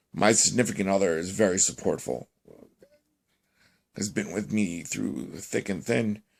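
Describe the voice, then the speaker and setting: Fairly low in pitch and with vocal fry, a man keeps a moderate pace with long, frequent pauses and ordinary pitch variation. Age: 40s. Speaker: former paramedic vlogger. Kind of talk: personal vlog monologue.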